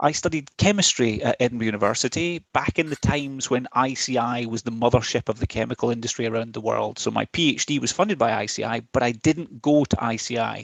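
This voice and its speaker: Speaking with a Scottish accent, a man keeps a fairly quick pace with hardly any pauses, a medium pitch and ordinary pitch variation. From west of Scotland, Ayr. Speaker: chief technology officer. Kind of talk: presentation.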